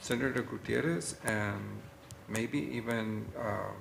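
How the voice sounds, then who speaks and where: A man talks very slowly at a fairly low pitch, with ordinary pitch variation. Room echo is audible. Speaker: college president. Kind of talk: board meeting discussion.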